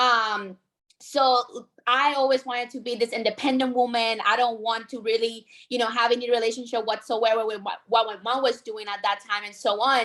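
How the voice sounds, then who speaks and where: Her strong Puerto Rican accent comes through as a woman with a bright, sharp tone speaks in a monotone, flat intonation at a moderate pace, recorded very cleanly against a silent background. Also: fairly high pitch for a woman. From Puerto Rico. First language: Spanish. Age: 20s. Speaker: insurance sales agent. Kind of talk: training talk.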